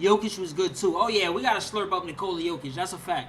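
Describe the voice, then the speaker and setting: A man with a New York accent talks at a fairly quick pace in an animated tone, with ordinary pitch variation. Noticeable background noise runs underneath. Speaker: sports YouTuber. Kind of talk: live stream sports commentary.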